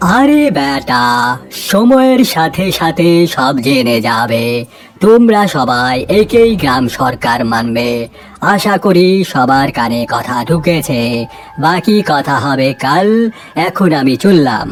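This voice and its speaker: A cartoonish character voice, pitched low-to-middle, with clear background noise. The delivery is very slow. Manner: playful, giggling, sly.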